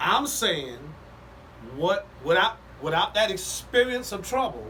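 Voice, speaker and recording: A raised, projected voice moves at a fairly slow pace with very wide pitch swings against noticeable background noise. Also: man, high pitch for a man. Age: 60s. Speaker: pastor. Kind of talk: casual podcast chat. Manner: preachy, building storytelling.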